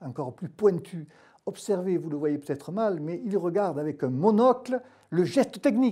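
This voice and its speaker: A man speaks at a moderate pace in a high, dark and mellow voice. His pitch swings very widely over a quiet background. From southern France. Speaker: pain medicine doctor. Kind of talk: expert panel discussion. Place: studio. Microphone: lapel.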